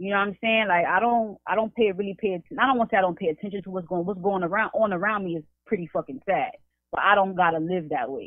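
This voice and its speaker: A very fast, animated delivery in a New York accent. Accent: New York City. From East New York, Brooklyn. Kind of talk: casual chat.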